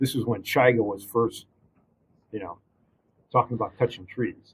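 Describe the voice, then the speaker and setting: Speaking at a moderate pace with a medium pitch, a man with an American accent sounds somewhat breathy and keeps his intonation fairly even. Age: 60s. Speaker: arborist. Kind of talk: casual interview. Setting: studio.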